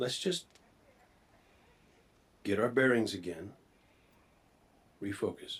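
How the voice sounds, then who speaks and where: Using a put-on character voice, a man talks at a fairly slow pace in a raspy, medium-pitched tone, with long, frequent pauses. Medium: video game. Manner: casual, confident.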